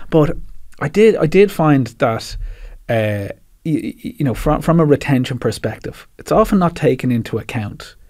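With a Dublin accent, a man talks at a moderate pace in a fairly high pitch, his voice making very wide pitch swings. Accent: Dublin Irish. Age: 30s. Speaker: PR agency CEO and army veteran. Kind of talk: interview.

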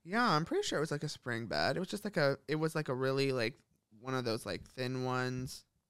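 A plain, everyday voice with an American accent, ordinary pitch variation and a fairly quick pace, in a very clean recording over a silent background. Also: man, medium pitch for a man. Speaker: podcast co-host. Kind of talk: casual chat.

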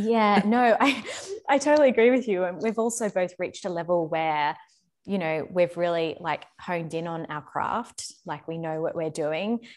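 A woman with an Australian accent speaks in a fairly low pitch at a moderate pace. Her intonation is lively, in a very clean recording with a silent background. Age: young. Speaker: former ballet dancer. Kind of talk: casual chat.

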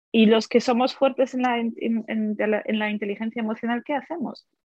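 A woman is talking. Her voice sits at a fairly high pitch. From Poland, then Germany. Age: 30s. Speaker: language teacher and editor. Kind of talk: interview. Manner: halting, with repetitions.

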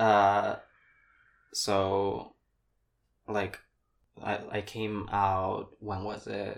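Very slow and broken by long, frequent pauses, a man's fairly low, monotone voice with flat intonation comes through on a very clean recording with a silent background. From Paraguay. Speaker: drag performer. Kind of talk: casual chat.

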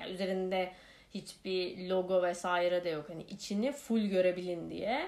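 Fairly slow speech from a woman, medium in pitch. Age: 30s. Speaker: podcast host. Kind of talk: casual monologue. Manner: many filler hesitations.

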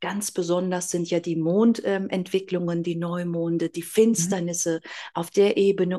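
In a dark, mellow tone, a woman delivers her words at a fairly slow pace. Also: quiet background. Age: 40s. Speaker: astrologer. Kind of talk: interview.

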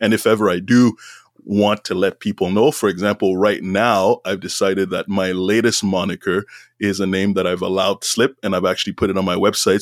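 A man talks at a fairly quick pace with a fairly low pitch and flat, monotone intonation. The sound is dry and close with no echo, very clean over a silent background. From Montreal, Quebec, Canada. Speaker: former chief information officer and author. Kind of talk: interview.

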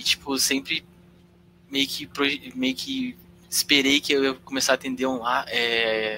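Over noticeable background noise, a man speaks at a fairly slow pace and medium pitch with fairly even intonation. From Londrina, Paraná, Brazil. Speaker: psychology student, podcast producer. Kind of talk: casual chat. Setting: live stream.

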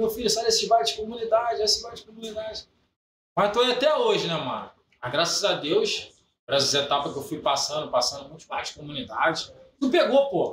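Delivery is at a fairly quick pace, with big swings in loudness. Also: man. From Belford Roxo, Rio de Janeiro, Brazil. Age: 30s. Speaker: funk MC. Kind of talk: casual chat.

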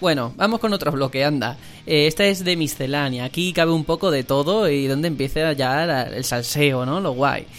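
An ordinary speaking voice at a moderate pace, with hardly any pauses. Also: man, fairly high pitch for a man, ordinary pitch variation. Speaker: podcast host. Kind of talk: casual chat.

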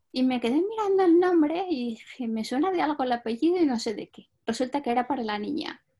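Speaking fairly quickly with hardly any pauses, a woman has a high voice, a dark, mellow tone and big swings in loudness. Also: lively intonation. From Spain. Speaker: translator and interpreter. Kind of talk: interview.

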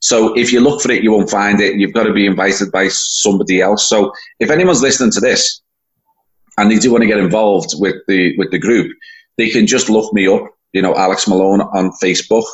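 A man with a Liverpool accent speaks at a fairly quick pace and fairly low pitch, with ordinary pitch variation and very even loudness. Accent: Scouse (Liverpool). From Liverpool, England. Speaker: event organizer, football fan. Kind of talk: casual interview.

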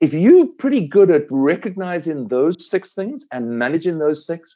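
A man with a South African accent talks at a moderate pace. His fairly high pitch carries lively intonation. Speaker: veterinary dermatologist. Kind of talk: interview.

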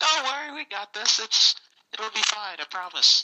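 This put-on character voice has very wide pitch swings. Its loudness swings widely too. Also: man, high pitch for a man, moderate pace. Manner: confident, reassuring, boastful.

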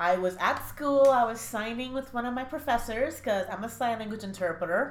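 The speaker is a woman with lively intonation. Audible room echo surrounds her voice. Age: 20s. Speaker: chronic pain sufferer sharing her story. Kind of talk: casual interview.

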